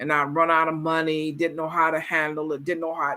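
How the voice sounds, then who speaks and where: The recording is very clean, and the background is silent. An American accent comes through in the speech. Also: woman. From US. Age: 60s. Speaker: travel coach vlogger. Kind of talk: casual vlog monologue. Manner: halting, many fillers.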